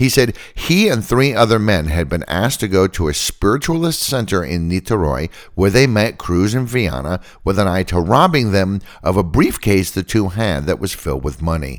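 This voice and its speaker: A man speaks at a fairly low pitch with vocal fry and very wide pitch swings, at a moderate pace. The recording is very clean, with a silent background. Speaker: podcast host. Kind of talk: true-crime narration, scripted storytelling. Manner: skeptical, wry.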